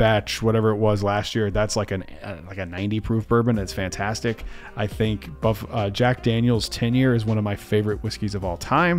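A man talks at a moderate pace with a fairly low pitch and ordinary pitch variation. Faint music plays in the background. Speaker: bourbon reviewer. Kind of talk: casual commentary reacting to comments. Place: home room. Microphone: studio mic.

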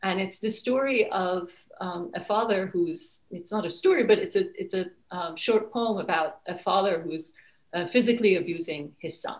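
Against a quiet background, a woman with a fairly low pitch and a somewhat breathy voice talks at a fairly slow pace with ordinary pitch variation. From Iran (Tehran). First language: Persian. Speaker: author; guest. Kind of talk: interview. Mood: reflective, earnest. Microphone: webcam.

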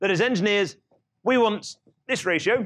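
Over a quiet background, a man is heard. He speaks at a moderate pace. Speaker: lecturer. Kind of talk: lecture. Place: classroom.

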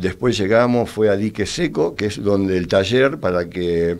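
Against a quiet background, a man with a fairly low pitch talks at a fairly slow pace. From Argentina, Quilmes (Buenos Aires); Buenos Aires, Argentina. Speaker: war veteran; interview guest. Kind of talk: interview testimony. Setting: radio studio. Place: studio. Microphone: studio mic.

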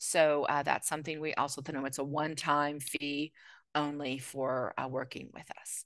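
A woman's very deep, low voice, flat and monotone, with a dry sound and no echo. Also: moderate pace, quiet background. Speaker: podcast producer and university lecturer; podcast producer, university lecturer. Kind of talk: panel discussion. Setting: video call. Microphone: video call.

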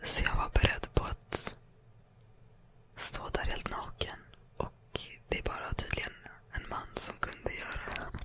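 A woman whispers at a fairly slow pace. She leaves long, frequent pauses. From Sweden. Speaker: ASMR creator. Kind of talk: ASMR storytime, casual personal anecdotes. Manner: whispered, calming. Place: home room. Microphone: studio mic.

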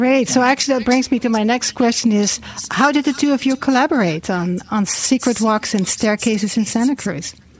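In a plain, everyday voice, a woman talks at a fairly quick pace with a fairly high pitch and ordinary pitch variation. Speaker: radio host. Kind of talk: radio interview. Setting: studio.

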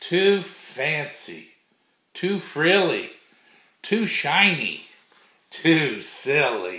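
A man with a fairly high pitch, vocal fry and a bright, sharp, yet gentle and playful tone speaks at a very slow pace with lively intonation and long, frequent pauses. Room echo is audible. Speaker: grandfather reading children's books aloud. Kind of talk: bedtime storybook read-aloud for small children. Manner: gentle, unhurried grandfatherly reading with playful rhythmic repetition; warm, folksy sign-offs with a God bless. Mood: warm, playful. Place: home room. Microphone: webcam.

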